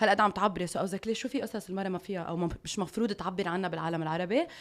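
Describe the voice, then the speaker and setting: A woman with a Lebanese accent, very fast and animated, with ordinary pitch variation, on a very clean recording with a silent background. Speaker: life coach and women empowerment speaker. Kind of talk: casual interview. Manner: loud.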